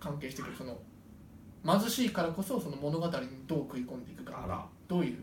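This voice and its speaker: A man with a high pitch speaks with lively intonation. Noticeable background noise and audible room echo fill the recording. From Japan, Sendai. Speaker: podcast co-host and stage actor. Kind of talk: casual chat.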